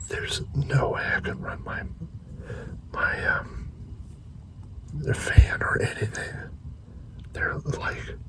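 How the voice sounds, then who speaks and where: Whispering at a very slow pace, a man is heard with audible room echo and noticeable background noise. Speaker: van life vlogger. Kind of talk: vlog monologue. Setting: inside a parked van at night.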